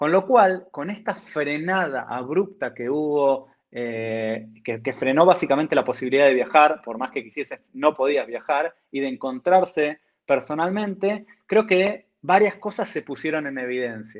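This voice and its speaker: A plain, everyday voice from a man at a fairly high pitch and fairly slow pace, with lively intonation, big swings in loudness and hardly any pauses. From Argentina. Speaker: technology entrepreneur. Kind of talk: interview.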